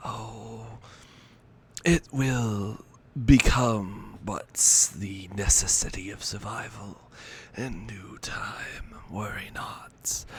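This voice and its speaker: A man whispers in a put-on character voice at a very slow pace. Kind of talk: old-world aristocratic speech. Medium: actual play. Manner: formal, courtly, measured.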